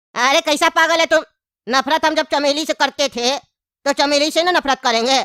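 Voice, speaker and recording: A high-pitched, cartoonish character voice comes at a moderate pace on a very clean recording with a silent background. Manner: cheeky, comic.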